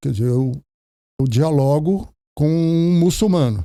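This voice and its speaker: A man with a fairly high pitch and a dark, mellow tone speaks at a fairly slow pace with lively intonation, recorded very cleanly over a silent background. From Brazil, Ceará. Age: 70s. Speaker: pastor. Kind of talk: podcast interview.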